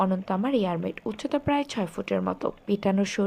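A natural reading voice carries the whole clip.

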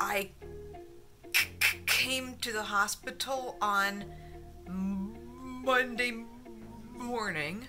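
Clear music plays behind a woman speaking at a very slow pace with lively intonation. She leaves long, frequent pauses. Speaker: vlogger with stroke-like aphasia. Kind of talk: personal vlog talk to camera. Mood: tired, subdued. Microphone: phone near.

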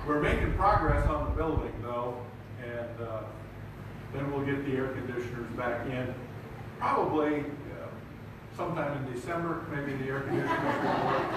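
Moderate pace and fairly even intonation from a man, with long, frequent pauses, strong room echo and noticeable background noise. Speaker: preacher. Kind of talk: sermon. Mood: warm, light-hearted. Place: hall.

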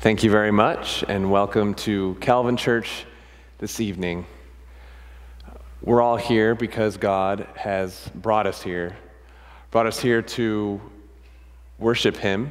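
A man with a fairly low pitch talks at a very slow pace, leaving long, frequent pauses, his intonation fairly even. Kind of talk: liturgical welcome and prayer. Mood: solemn, calm. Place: church. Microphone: podium.

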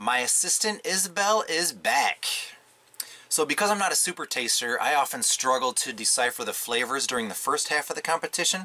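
A man with an American accent speaks at a fairly quick pace and a fairly high pitch. His pitch swings very widely. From Michigan. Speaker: coffee reviewer. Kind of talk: casual product review. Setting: pop-up camper at an RV park. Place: tent.

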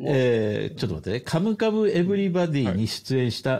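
This man speaks at a fairly quick pace with a dark, mellow tone and very wide pitch swings. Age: 50s. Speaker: podcast host. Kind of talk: casual chat. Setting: remote call, three separate locations.

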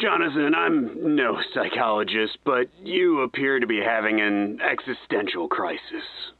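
A man speaks at a moderate pace and a medium pitch with lively intonation. His loudness stays very even, with hardly any pauses. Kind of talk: old-time radio acting. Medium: audio drama. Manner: concerned, dry humor.

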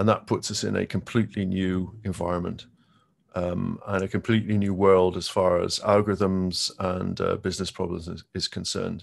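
A man's very deep, low pitch in monotone, flat intonation at a moderate pace, over a quiet background. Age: 50s. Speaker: tech company quantum manager; presenter. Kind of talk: conference presentation. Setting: video call. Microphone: video call.

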